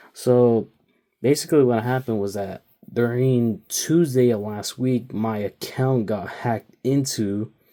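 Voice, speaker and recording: On a very clean recording with a silent background, a man speaks with a dark, mellow tone. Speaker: diecast toy reviewer. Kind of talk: casual vlog talk. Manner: quieter than usual; rambling, filler-heavy.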